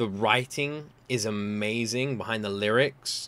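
This man's tone is bright and sharp. His pitch varies in an ordinary way. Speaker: reaction video creator. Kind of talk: casual reaction commentary. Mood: excited, emotionally moved. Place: home room.

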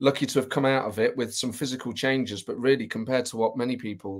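Very fast speech from a man against a quiet background. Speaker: remote guest. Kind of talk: interview answer.

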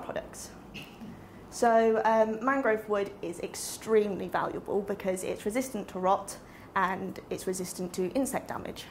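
A woman speaks at a fairly slow pace with ordinary pitch variation. Light background noise is present. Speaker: presenter. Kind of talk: lecture. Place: classroom. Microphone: camera far.

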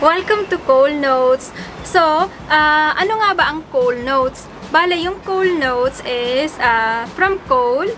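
Her high-pitched voice carries lively intonation at a fairly slow pace. Light background noise sits behind this woman. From Bicol, Philippines. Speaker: vlogger, single parent. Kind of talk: casual talk to camera. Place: home room. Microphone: phone near.

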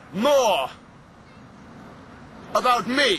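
There is noticeable background noise. A man talks at a very slow pace. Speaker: performance poet. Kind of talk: comic poetry performance. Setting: outdoors.

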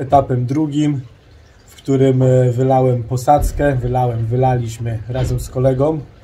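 Over light background noise, a man talks at a very slow pace with monotone, flat intonation. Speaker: home DIY vlogger. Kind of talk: casual vlog chat. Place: garden. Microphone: phone near.

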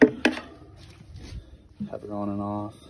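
A man's fairly low voice, slightly mellow in tone, with audible room echo

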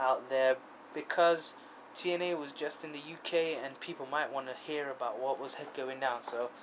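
There is noticeable background noise behind this man. He talks at a fairly slow pace with fairly even intonation. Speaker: vlogger. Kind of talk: casual vlog chat. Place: home room. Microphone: phone near.

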